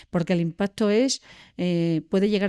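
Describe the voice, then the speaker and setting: A woman speaks at a moderate pace in a medium-pitched, dark, mellow voice with ordinary pitch variation, in a very clean recording with a silent background and a dry, close sound with no echo. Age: 60s. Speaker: social educator at a secondary school. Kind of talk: podcast interview.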